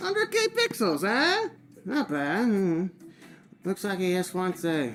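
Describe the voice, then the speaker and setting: A woman's cartoonish character voice at a medium pitch, fairly slow in pace, with very even loudness. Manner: lazy, drawling, casual.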